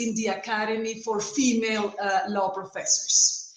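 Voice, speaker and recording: A woman with a fairly high voice speaks fairly slowly in a flat monotone. Audible room echo and noticeable background noise surround her. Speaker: law professor. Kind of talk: conference talk.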